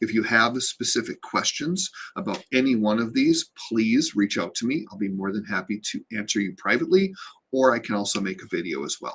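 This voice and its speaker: A man speaks in a normal speaking voice at medium pitch. His intonation is lively and his pace fairly quick. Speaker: real estate agent. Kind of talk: informational video talk.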